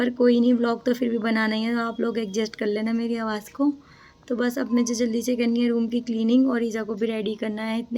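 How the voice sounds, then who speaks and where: A woman's fairly high voice moves along at a fairly quick pace. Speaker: family vlogger. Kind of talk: casual vlog chat.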